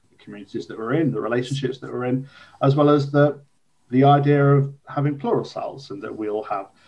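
The speaker has an English Midlands accent. Intonation stays fairly even at a moderate pace. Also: man. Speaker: podcast host. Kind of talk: conversational, warm.

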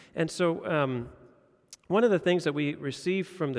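The man speaks in a fairly high pitch. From Indonesia. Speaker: pastor. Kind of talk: sermon. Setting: church. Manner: hesitant with many fillers.

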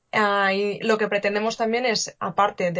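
A woman with a normal speaking voice talks at a fairly slow pace. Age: 20s. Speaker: coding teacher and startup founder. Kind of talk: casual interview.

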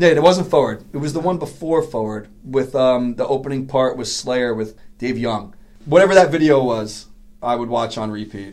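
Speaking in a New York accent at medium pitch, a man shows big swings in loudness. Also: ordinary pitch variation, moderate pace. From New York City (Queens). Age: 40s. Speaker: BMX rider and business owner. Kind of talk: casual chat.

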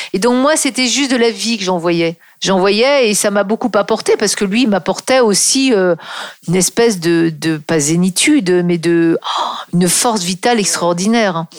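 Over noticeable background noise, a woman with a medium pitch talks at a moderate pace, her intonation lively and her loudness very even. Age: 50s. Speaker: copywriter and author. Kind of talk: interview.

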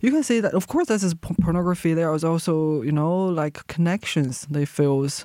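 A woman with a Chinese accent speaks at a fairly quick pace, her pitch fairly low and her loudness very even. The sound is dry and close with no echo, on a very clean recording with a silent background. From China. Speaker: visual artist. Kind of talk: interview. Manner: halting.

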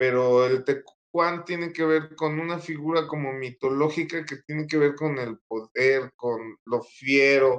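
In an ordinary speaking voice, a man talks at a fairly slow pace with a fairly high pitch and ordinary pitch variation. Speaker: author and researcher. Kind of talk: interview answers. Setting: live video stream.

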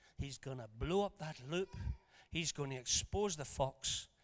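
A man with a Scottish accent speaks fairly slowly at a fairly high pitch, his tone animated and his intonation lively. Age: 60s. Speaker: preacher. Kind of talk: sermon. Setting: church.

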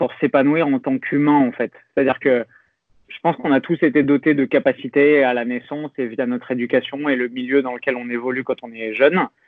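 A man talks at a fairly quick pace and medium pitch. His is an unremarkable speaking voice. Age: 30s. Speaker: fitness coach and youtuber. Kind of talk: interview conversation.

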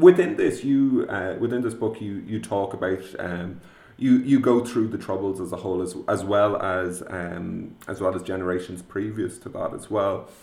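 An ordinary speaking voice from a man, fairly low in pitch with ordinary pitch variation, at a moderate pace with hardly any pauses and big swings in loudness. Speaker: podcast host. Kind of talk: interview.

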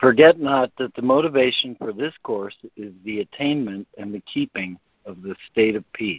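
A man's normal speaking voice, medium in pitch, with ordinary pitch variation and a moderate pace. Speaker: conference call facilitator. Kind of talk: reading aloud and facilitating group call. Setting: phone call.

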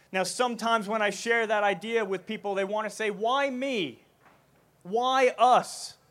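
Speaking at a moderate pace, a man with a New Jersey accent uses a high voice and fairly even intonation. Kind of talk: talk to festival audience. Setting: stage with audience.

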